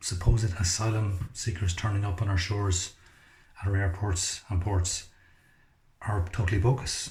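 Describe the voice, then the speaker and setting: A man speaks quietly with an Irish accent, his tone dark, mellow and somewhat breathy. The recording is very clean, with a silent background. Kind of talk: casual monologue to camera. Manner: quiet, low voice.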